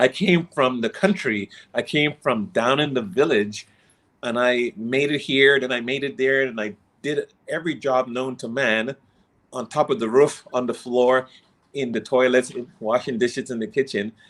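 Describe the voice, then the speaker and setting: The speaker is a man with a plain, everyday voice. His pitch is medium, his pace moderate, and his pitch variation ordinary. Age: 60s. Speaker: inspirational coach. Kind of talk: interview.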